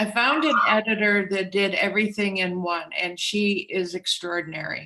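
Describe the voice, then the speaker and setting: A woman's normal speaking voice, medium in pitch, with lively intonation at a moderate pace. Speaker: author. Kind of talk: interview.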